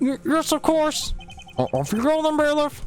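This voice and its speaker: The voice is a put-on character voice with a high pitch. Clear background noise runs behind it. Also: moderate pace. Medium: game stream. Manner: hesitant, stammering.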